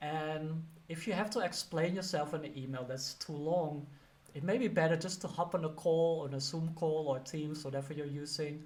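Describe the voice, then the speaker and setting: Fairly high male pitch with ordinary variation, a slight Dutch accent, a moderate pace, and audible room echo. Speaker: career coach and teacher. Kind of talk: casual advice talk to camera. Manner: conversational, many fillers.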